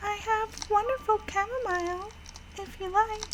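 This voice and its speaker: A woman's squeaky, put-on character voice at an extremely high pitch, with fairly even intonation, a moderate pace and clear background noise. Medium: game stream. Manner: polite, formal, addresses the master.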